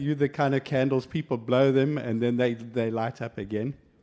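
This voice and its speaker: A dark, mellow male voice on a very clean recording with a silent background. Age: 60s. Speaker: professor, conference speaker. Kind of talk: conference presentation. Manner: hesitant, many fillers.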